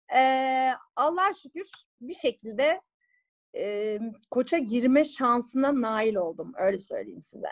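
A woman speaks at a very slow pace with a high pitch. Her intonation is lively. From Turkey, Bursa. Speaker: lawyer and singer. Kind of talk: interview. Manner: animated.

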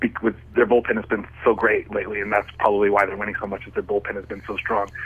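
Noticeable background noise runs under the recording. A man with an American accent speaks at a very fast pace. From southern California. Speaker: professional wrestler. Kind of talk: radio interview answer. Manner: casual, hesitant.

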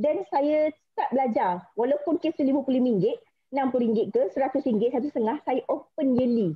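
Spoken at a very slow pace with lively intonation, the voice holds a very even loudness over a quiet background. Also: woman, high pitch for a woman. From Malaysia. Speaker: insurance agent. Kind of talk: motivational talk. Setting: video call. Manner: nervous. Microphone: video call.

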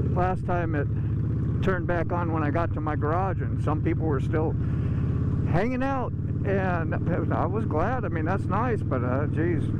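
Loud background noise accompanies a man who speaks at a moderate pace with long, frequent pauses, in a dry sound with no echo. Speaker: motorcycle vlogger. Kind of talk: casual vlog chat. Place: motorbike. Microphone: phone near.

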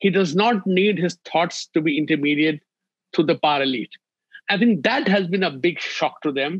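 A man at a high pitch for a man and a moderate pace, with ordinary pitch variation, a dry sound with no echo and a quiet background. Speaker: remote interview guest. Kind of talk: interview answer. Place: home room. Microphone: video call.

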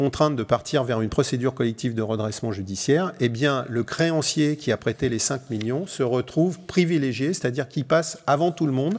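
On a very clean recording with a silent background, a man with an unremarkable speaking voice talks at medium pitch and a moderate pace, with ordinary pitch variation. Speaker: chartered accountant and auditor. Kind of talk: conference workshop presentation. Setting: conference hall with audience.

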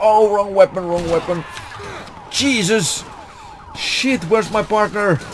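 A man talks at a fairly slow pace with ordinary pitch variation. Noticeable background noise runs under the recording. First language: Finnish. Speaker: gaming youtuber. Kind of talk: gameplay commentary. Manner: animated.

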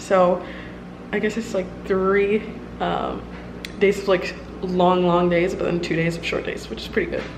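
A woman's voice over noticeable background noise. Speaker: law student vlogger. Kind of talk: casual vlog chat. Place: kitchen. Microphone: phone near.

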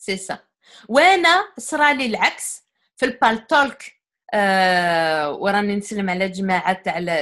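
Very slowly, a woman talks with a strong Algerian accent at a medium pitch, her tone bright and sharp. The recording is very clean, with a silent background. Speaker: guest speaker on psychology. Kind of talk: casual interview discussion.

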